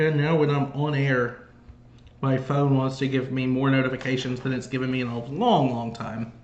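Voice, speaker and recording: Delivered at a moderate pace with an American accent and monotone, flat intonation, the speech carries audible room echo and noticeable background noise. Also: man, medium pitch for a man. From Georgia, US. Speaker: sports fan commentator. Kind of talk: live play-by-play commentary and casual chat. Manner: trouble pronouncing R's and L's.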